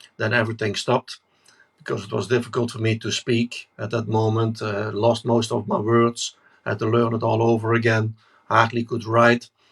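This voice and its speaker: At a moderate pace, a man speaks in a medium pitch, somewhat breathy, with monotone, flat intonation. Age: 60s. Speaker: network marketing leader. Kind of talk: interview.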